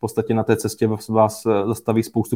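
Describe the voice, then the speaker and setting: A dark, mellow voice speaks in a flat monotone against a quiet background. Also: man. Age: 20s. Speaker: cryptocurrency investment expert. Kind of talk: interview. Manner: halting, with many fillers.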